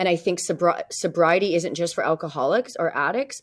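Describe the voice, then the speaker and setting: Using a plain, everyday voice, a woman with a Canadian accent speaks at a fairly quick pace and a fairly low pitch, with ordinary pitch variation. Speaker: realtor and author. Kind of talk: interview. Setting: podcast.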